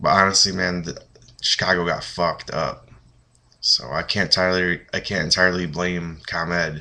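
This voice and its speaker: A man with a very deep, low pitch and a bright, sharp tone speaks at a moderate pace in a monotone, flat intonation. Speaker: vlogger. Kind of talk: casual webcam vlog. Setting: apartment, late night. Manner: keeping voice down.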